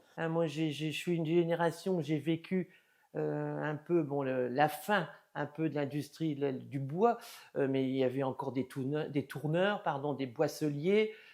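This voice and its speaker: A woman talks in a very deep, low pitch at a fairly slow pace. Her tone is dark and mellow, with ordinary pitch variation. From northern France, Felleries. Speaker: local resident. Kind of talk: interview testimony.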